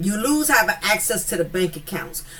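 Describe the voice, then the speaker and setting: A woman's animated voice in a Southern accent, medium in pitch with lively intonation, over noticeable background noise. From US South. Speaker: commentary YouTuber. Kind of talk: casual commentary monologue. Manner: animated, with repeated fillers.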